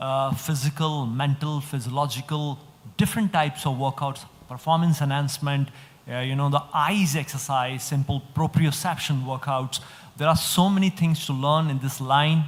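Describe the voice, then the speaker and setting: A fairly high-pitched man's voice, somewhat breathy, with fairly even intonation at a moderate pace. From India, Bombay. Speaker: fitness coach. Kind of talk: panel discussion. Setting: stage with audience.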